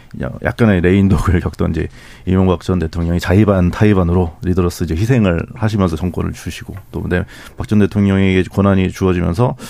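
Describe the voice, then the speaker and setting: Noticeable background noise sits behind a man whose very deep, low voice moves fairly quickly and varies in pitch an ordinary amount. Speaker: newspaper journalist. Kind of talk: radio panel discussion. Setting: studio.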